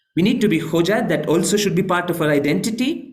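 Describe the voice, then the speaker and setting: A man speaks with lively intonation, and audible room echo surrounds his voice. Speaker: Islamic scholar and lecturer. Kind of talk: online lecture with slides.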